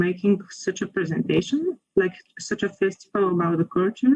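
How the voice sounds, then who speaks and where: A somewhat breathy woman's voice of medium pitch, with a Bulgarian accent and a moderate pace. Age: 20s. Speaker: university student. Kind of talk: casual chat.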